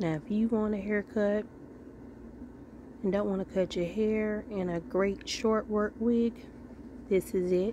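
Delivered at a fairly slow pace with fairly even intonation and long, frequent pauses, the dry, echo-free speech has light background noise. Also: woman, fairly high pitch for a woman. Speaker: wig reviewer. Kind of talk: casual product review to camera. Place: home room. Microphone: phone near.

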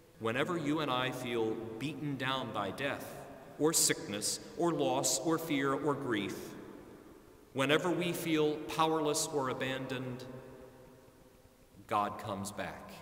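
A man at a fairly slow pace, with long, frequent pauses, ordinary pitch variation, and audible room echo. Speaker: pastor. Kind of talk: sermon. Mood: earnest, reflective. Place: church.

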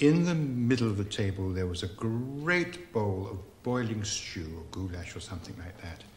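Over light background noise, a man with an unremarkable speaking voice talks at a moderate pace with lively intonation. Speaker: rabbi storyteller. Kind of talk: storytelling. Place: kitchen.

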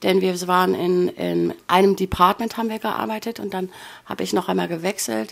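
A woman's plain, everyday voice, a plain, everyday voice at medium pitch, with lively intonation and a moderate pace. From northern Germany, Bremen. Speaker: former cruise ship worker, emigrant. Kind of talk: casual interview.

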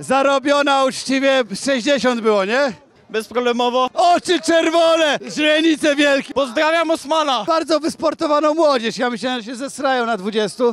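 A man talks at a moderate pace in an extremely high pitch, with an animated tone, ordinary pitch variation and a dry sound with no echo. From Poland. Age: 40s. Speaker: YouTuber street interviewer. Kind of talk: street interviews. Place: street. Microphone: handheld.

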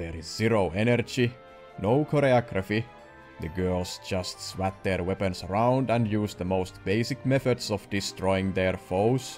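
Over music in the background, a man with a fairly low pitch speaks at a fairly slow pace with ordinary pitch variation. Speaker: video reviewer. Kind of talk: commentary.

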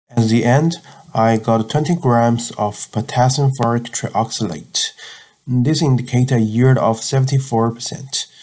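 A man speaks at a very slow pace with a medium pitch. His loudness stays very even. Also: ordinary pitch variation. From China. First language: Chinese. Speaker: chemistry student vlogger. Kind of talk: tutorial narration. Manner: halting.

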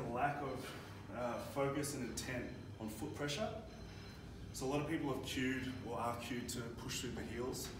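Noticeable background noise and audible room echo surround a man speaking at a fairly quick pace. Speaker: strength coach. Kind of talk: tutorial. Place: gym. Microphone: camera far.

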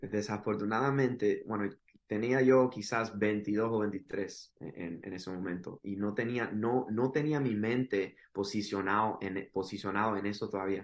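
A man with an ordinary speaking voice talks at a fairly slow pace and fairly low pitch, with fairly even intonation and hardly any pauses. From Miami, Florida (Cuban parents). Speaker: podcast guest. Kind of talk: testimony. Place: home room. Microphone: video call.

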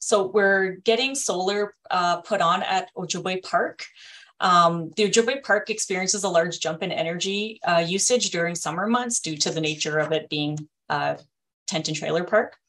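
A woman's voice at a moderate pace, its pitch varying in an ordinary way. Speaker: presenter. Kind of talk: meeting presentation. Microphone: video call.

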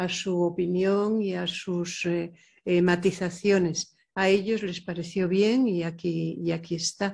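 The voice is monotone, with flat intonation. It moves at a very slow pace. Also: woman. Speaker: poet. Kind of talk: panel discussion. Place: hall. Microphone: podium.

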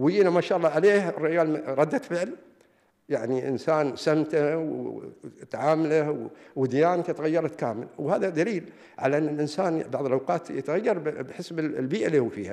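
Against a quiet background, a man with an Emirati accent speaks at a moderate pace in a fairly high pitch, with a dark, mellow tone and ordinary pitch variation. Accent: Emirati Gulf Arabic. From UAE. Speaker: religious affairs official; invited lecturer. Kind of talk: lecture. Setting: lecture hall with audience. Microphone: podium.

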